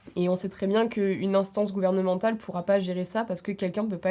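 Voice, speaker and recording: Her voice has a dark, mellow tone at medium pitch, and the woman moves at a fairly quick pace with fairly even intonation. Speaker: student. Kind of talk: podcast discussion.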